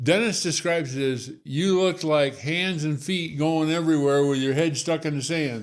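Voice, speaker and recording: He has a normal speaking voice with a fairly high pitch and ordinary pitch variation. This man keeps a moderate pace with hardly any pauses. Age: 60s. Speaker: Parkinson's patient sharing his story. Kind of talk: interview testimony.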